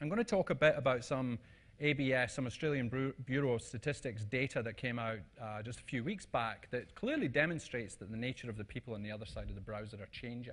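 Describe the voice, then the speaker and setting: Over a quiet background, a man with a Scottish accent and a medium pitch talks very fast, with big swings in loudness. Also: ordinary pitch variation. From Scotland. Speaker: conference speaker. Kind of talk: presentation talk. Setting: stage with audience. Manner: casual, hesitant with fillers.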